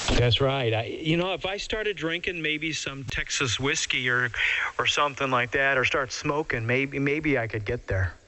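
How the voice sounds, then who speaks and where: A man talks at a moderate pace with lively intonation. Noticeable background noise is present. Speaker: CB radio operator. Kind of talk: casual chat.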